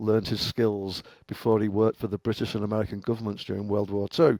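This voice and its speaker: A man with an English accent speaks at a fairly low pitch, the sound dry and close with no echo. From England, Liverpool. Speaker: cybersecurity engineer, former professional hacker. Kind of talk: podcast interview.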